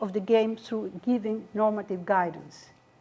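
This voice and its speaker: A woman with a non-native accent and a dark, mellow tone talks at a moderate pace. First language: not English. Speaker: academic panel speaker. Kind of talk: academic talk with slides.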